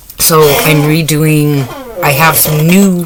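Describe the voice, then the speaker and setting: A loud voice comes through with noticeable background noise behind it. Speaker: craft YouTuber. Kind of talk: casual vlog chat. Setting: home, late at night. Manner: speaking quieter than usual; talkative, normally loud.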